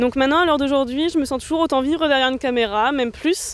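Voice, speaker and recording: Ordinary pitch variation in a woman's high voice. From northern France, Nord (Roncq near Lille). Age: 20s. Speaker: film student and director. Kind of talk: interview.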